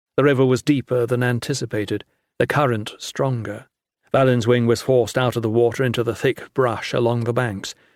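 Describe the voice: The background has little noise. The delivery is plain reading aloud.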